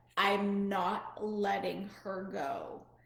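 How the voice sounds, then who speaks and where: A growling, put-on character voice with a slight echo. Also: woman, medium pitch for a woman. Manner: evil, menacing.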